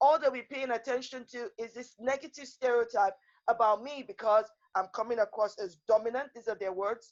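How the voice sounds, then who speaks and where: Quiet and passionate, a woman talks at a fairly quick pace in a fairly high voice with ordinary pitch variation. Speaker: lawyer and women's rights activist. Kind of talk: panel discussion. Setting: video call. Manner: passionate, emphatic; loud, never quiet.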